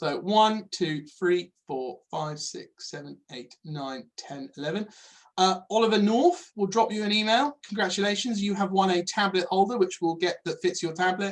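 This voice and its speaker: This man talks with a high pitch. His pitch varies in an ordinary way. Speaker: farmer and product manager presenting software. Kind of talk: webinar presentation with Q&A. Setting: online webinar. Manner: fast; hesitant, many fillers.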